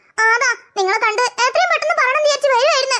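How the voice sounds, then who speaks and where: This cartoonish character voice is extremely high in pitch and moves at a moderate pace. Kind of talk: cartoon character voices.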